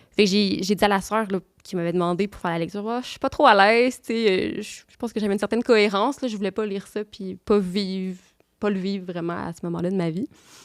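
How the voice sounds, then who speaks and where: Speaking at a very fast pace, a woman keeps her intonation fairly even as her loudness swings widely, on a very clean recording with a silent background. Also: medium pitch for a woman. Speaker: nun. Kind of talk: testimony. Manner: halting.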